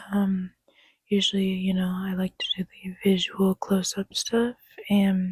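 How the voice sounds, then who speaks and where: A soft-spoken, somewhat breathy woman talks very slowly in a dry, close sound with no echo. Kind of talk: ASMR close-up personal attention whisper.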